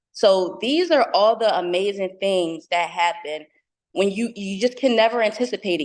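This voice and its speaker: This woman speaks with a New Jersey accent. Her pitch sits in the medium range. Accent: New Jersey American. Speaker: fashion entrepreneur and tech speaker. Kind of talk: motivational talk.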